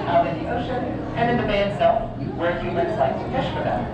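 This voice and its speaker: Someone female is speaking, a woman's voice. Loud background noise and audible room echo fill the recording. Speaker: aquarium educator. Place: hall. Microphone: camera far.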